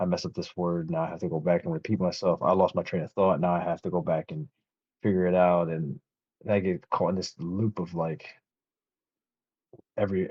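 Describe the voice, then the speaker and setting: A fairly quick pace broken by long, frequent pauses, with fairly even intonation throughout. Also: man. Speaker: artist and army veteran. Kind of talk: casual chat.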